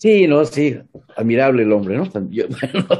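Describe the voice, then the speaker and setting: Dark and mellow in tone, a man at medium pitch talks at a moderate pace with lively intonation. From Mexico. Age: 60s. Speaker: retired pedagogy professor. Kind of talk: interview.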